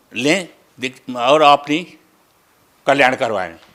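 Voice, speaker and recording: With ordinary pitch variation, the man talks in a bright, sharp tone. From Nepal. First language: Nepali (speaking Hindi). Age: 70s. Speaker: devotee, retired school inspector. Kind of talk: interview testimony. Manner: halting, with fillers and repetitions.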